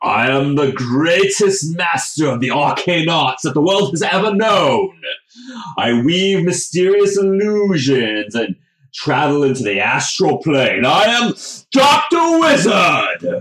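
A put-on character voice from a man, high-pitched and fairly slow. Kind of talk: comic overacting. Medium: actual play. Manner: grandiose, theatrical, proclaiming.

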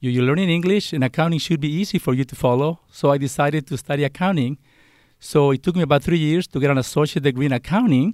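Speaking very fast with a Spanish accent, a man with a fairly high pitch and ordinary pitch variation comes through a very clean recording with a silent background and a dry, close sound with no echo. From Mexico. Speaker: college dean. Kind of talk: interview.

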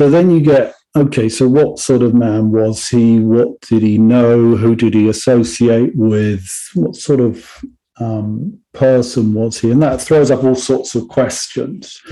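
With an English accent, a man with a medium pitch and a dark, mellow tone speaks at a very slow pace with ordinary pitch variation and hardly any pauses. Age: 50s. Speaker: songwriter and music educator. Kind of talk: interview.

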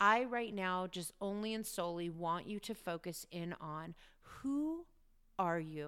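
A woman with a normal speaking voice talks fairly slowly at a medium pitch, using ordinary pitch variation. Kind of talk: guided meditation. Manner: warm, encouraging, lightly chatty, with occasional laughs.

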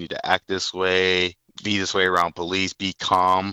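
This man's pitch is very deep and low. He speaks with an American accent. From US Midwest, Fort Wayne, Indiana. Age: 30s. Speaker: caller, former track athlete working in sales. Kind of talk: casual interview. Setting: phone call.

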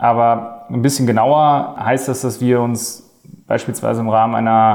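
A man speaks at medium pitch and a moderate pace. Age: 20s. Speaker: management consultant. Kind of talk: job interview podcast.

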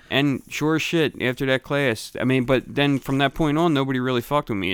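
At a fairly quick pace, a man with a Philadelphia accent speaks in a very clean recording with a silent background. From Philadelphia, Grays Ferry. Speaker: podcast co-host. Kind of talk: casual chat.

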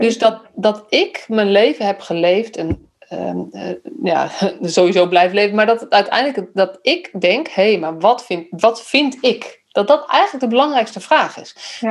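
A woman with an unremarkable speaking voice, fairly high pitch, lively intonation and a fairly slow pace. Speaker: podcast host, youth care professional. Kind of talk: casual interview conversation.

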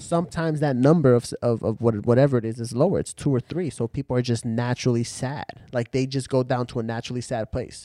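A man with an American accent speaks very fast at a medium pitch, his dark, mellow tone moving with ordinary pitch variation in a dry, close sound with no echo. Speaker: friend of the host. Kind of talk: casual chat.

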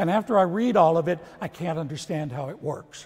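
Over noticeable background noise, a man with an American accent speaks at a high pitch with ordinary pitch variation. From Texas. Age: 70s. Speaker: priest. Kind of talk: sermon. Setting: church.

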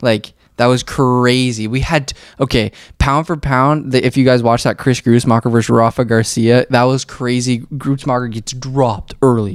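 The recording is very clean with a silent background as a man at medium pitch talks at a moderate pace. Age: 20s. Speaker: podcast host, MMA fan. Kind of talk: casual chat. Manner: animated.

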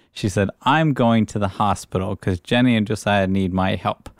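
A man with an ordinary speaking voice talks fairly slowly at a fairly low pitch, with ordinary pitch variation. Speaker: podcast co-host. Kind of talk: casual banter.

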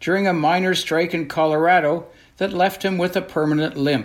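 A man with a high-pitched voice

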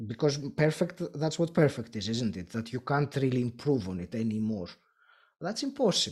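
A man with a Greek accent speaks at a moderate pace in a medium pitch, his intonation lively and his voice somewhat breathy. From Greece. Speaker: podcaster and podcast coach. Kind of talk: interview. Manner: hesitant, frequent filler words; laughs often.

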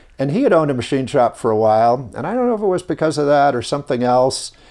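A man with an American accent has a dark, mellow tone at a medium pitch. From Southern California, Los Angeles area. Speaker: company founder and hotelier. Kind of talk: interview. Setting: on location in Tahoe. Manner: hesitant, many fillers.

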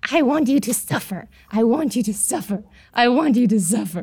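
A woman speaks in a put-on character voice at a moderate pace. Her pitch sits fairly high. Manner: menacing.

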